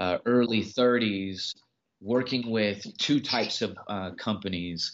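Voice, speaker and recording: A man with a normal speaking voice and an American accent, fairly low in pitch with ordinary variation, at a fairly slow pace. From Los Angeles area, US. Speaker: record label owner and hip-hop artist. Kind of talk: interview.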